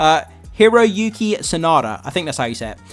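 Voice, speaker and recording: A man with an English accent, lively intonation and a moderate pace, over music in the background. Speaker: video commentator. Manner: casual, hesitant with fillers.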